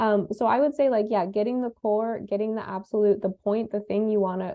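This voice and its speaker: The pace of this woman's speech is fairly quick. Her voice sits fairly high in pitch. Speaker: conference panelist giving advice. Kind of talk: panel discussion answering questions. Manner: fast; speeds up when excited.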